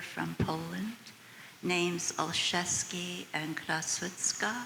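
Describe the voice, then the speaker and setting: A woman with an American accent speaks at a very slow pace and a fairly low pitch. Noticeable background noise can be heard. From United States. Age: 80s+. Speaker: audience member. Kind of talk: audience question and comment.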